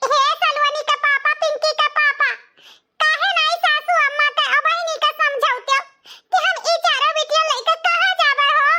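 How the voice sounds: A woman puts on a cartoonish character voice at an extremely high pitch. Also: moderate pace, lively intonation.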